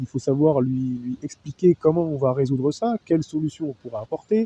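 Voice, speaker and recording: The voice is somewhat breathy with a dark, mellow tone, recorded in a dry, close sound with no echo. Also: man. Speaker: SOC analyst. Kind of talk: testimony. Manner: fast; halting.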